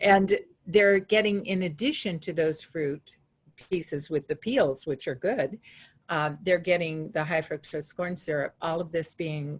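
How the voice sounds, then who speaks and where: A somewhat breathy woman's voice, fairly low in pitch, with ordinary pitch variation and a fairly slow pace. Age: 70s. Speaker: webinar participant asking a question. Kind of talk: Q&A question. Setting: webinar.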